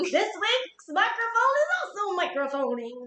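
In a put-on character voice, a woman squeaks at an extremely high pitch with very wide pitch swings at a moderate pace. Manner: announcer-like, theatrical.

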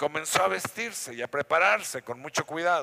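A man's fairly high-pitched voice with a bright, sharp tone, lively intonation and a moderate pace, in a dry, close sound with no echo. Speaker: pastor. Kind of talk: sermon. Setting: church.

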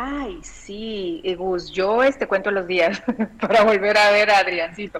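A woman's plain, everyday voice at medium pitch, with ordinary pitch variation and a fairly slow pace. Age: 40s. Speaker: bioexistence consultant. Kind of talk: interview.

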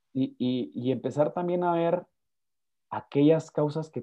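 A man at a fairly slow pace. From Guatemala. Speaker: lawyer and speaker. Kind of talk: interview conversation. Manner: halting, repeats words.

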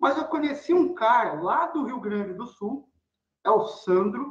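The man's pitch swings very widely. He talks at a fairly slow pace. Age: 40s. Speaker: programmer and pipe-smoking content creator. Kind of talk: casual interview.

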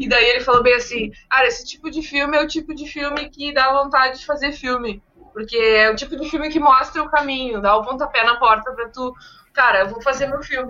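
A woman with a high pitch speaks in fairly even intonation, her loudness swinging widely. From southern Brazil, Viamão (Rio Grande do Sul). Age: 30s. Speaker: podcast co-host. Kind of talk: casual chat.

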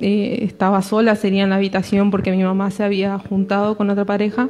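A woman's medium-pitched voice, monotone and flat, at a moderate pace with very even loudness and hardly any pauses. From Argentina, Córdoba province countryside. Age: 20s. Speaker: church youth member. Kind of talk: testimony. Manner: halting, many fillers.

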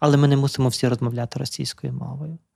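This man's tone is dark and mellow, and his intonation stays fairly even. The sound is dry and close, with no echo. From western Ukraine, Lviv region (Drohobych). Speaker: psychotherapist, podcast host. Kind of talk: casual chat. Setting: studio.

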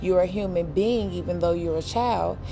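Moderate-paced speech from a woman, amid noticeable background noise and audible room echo. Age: 30s. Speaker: podcast host and fashion business owner. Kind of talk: casual monologue.

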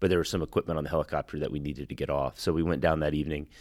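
A man with an American accent speaks at a very fast pace in a very deep, low pitch with vocal fry and monotone, flat intonation. The sound is dry and close, with no echo. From Texas. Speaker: Marine veteran and software executive. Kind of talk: interview. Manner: halting, many fillers and repeated words.

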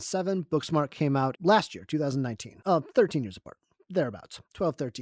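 On a very clean recording with a silent background, a man speaks at a very fast pace with very wide pitch swings. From Chicago area, US. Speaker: podcast host. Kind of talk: casual chat.

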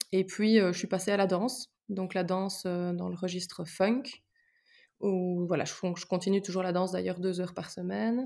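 A woman with a plain, everyday voice speaks at a moderate pace and medium pitch. Her intonation is fairly even, and the recording is very clean with a silent background. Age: 20s. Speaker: psychology-trained sports enthusiast. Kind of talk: casual interview.

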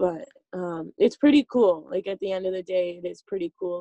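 Recorded dry and close with no echo, a woman with a Canadian prairie accent speaks at a moderate pace in a fairly low pitch. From Saskatchewan, Canada. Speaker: tree planter. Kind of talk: casual chat.

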